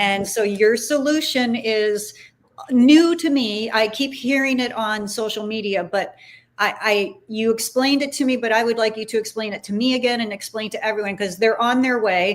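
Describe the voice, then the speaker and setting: A woman with a plain, everyday voice speaks at a moderate pace, her fairly high pitch showing ordinary pitch variation. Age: 60s. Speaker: former broadcaster, livestream host. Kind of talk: casual interview chat.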